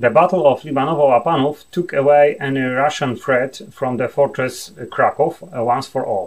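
Against a quiet background, a man with a Polish accent and a fairly high pitch talks with ordinary pitch variation and hardly any pauses. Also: moderate pace. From Poland. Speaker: university professor, military historian. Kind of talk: lecture. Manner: formal, hesitant with filler words. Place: home room.

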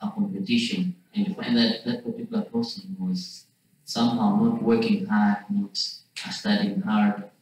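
Strong room echo surrounds a man who talks at a fairly slow pace with very wide pitch swings. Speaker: student. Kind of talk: class discussion. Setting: classroom. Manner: halting. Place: classroom. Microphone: camera far.

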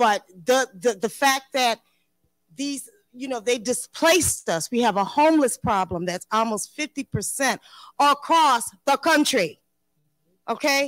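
A woman with an American accent speaks at a very slow pace. Her pitch is high, and the sound is dry with no echo over a quiet background. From US Midwest. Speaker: property owner and panelist. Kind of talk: panel discussion. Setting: stage with audience. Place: stage. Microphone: handheld.

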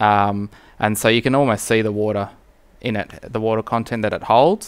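A man talks in a fairly low voice. His tone is clear and smooth. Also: fairly even intonation, moderate pace.

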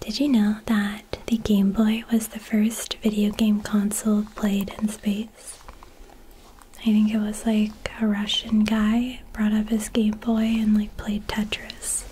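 Soft-spoken and gentle in tone, a woman talks very slowly in a flat monotone over light background noise. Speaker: content creator. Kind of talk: casual soft-spoken trivia chat. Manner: soft-spoken, gentle close-mic murmur. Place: home room.

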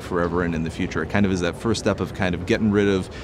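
A very deep, low-pitched man with fairly even intonation, dry sound with no echo, and noticeable background noise. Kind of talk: interview answer. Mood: calm, explanatory. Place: hall.

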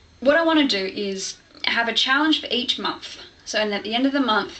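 A woman with an Australian accent. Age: 20s. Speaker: vlogger. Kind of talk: vlog monologue to camera. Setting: home video recording, low-quality camera. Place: home room. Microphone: webcam.

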